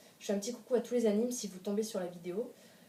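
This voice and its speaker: Fairly even intonation comes through against noticeable background noise. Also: woman. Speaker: youtuber. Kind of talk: casual chat. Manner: fast.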